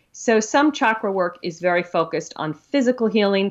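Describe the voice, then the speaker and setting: In an ordinary speaking voice, a woman talks at a fairly quick pace with ordinary pitch variation. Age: 50s. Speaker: author on chakra healing. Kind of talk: interview.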